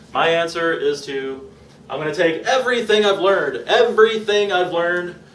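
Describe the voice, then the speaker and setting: At a moderate pace, a man talks at a high pitch with ordinary pitch variation, over noticeable background noise and audible room echo. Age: 20s. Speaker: vlogger documenting a raw vegan diet. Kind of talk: personal vlog monologue. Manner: casual, halting with fillers.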